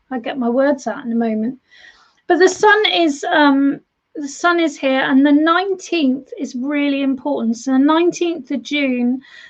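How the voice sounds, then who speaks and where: A woman speaks at a moderate pace with a British accent. Her pitch is high. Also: ordinary pitch variation. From United Kingdom. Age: 40s. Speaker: tarot reader and medium. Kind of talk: live-stream tarot reading. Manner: warm, chatty, repetitive.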